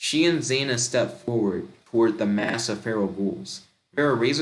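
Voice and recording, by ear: Reading aloud in a natural voice, with lively intonation, against a quiet background.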